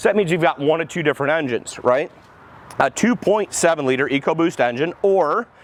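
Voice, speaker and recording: Noticeable background noise surrounds a man speaking. His pitch is fairly high and his intonation lively. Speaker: car dealership salesperson doing vehicle reviews. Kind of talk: product walkaround review. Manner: fast; animated.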